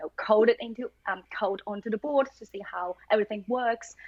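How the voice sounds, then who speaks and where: A woman with a Chinese accent speaks at a fairly quick pace. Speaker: machine learning engineer. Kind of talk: casual interview chat. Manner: hesitant, many fillers.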